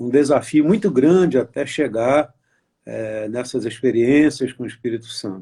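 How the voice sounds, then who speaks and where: Loudness swings widely as a man with a dark, mellow tone talks fairly slowly at medium pitch with ordinary pitch variation. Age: 70s. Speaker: pastor. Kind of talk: testimony. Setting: Instagram live video chat. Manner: halting.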